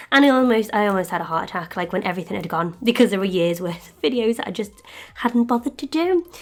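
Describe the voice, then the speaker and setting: Noticeable background noise sits behind a woman speaking at a very fast pace. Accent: British. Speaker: polymer clay sculptor, craft video maker. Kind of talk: crafting tutorial with casual chat.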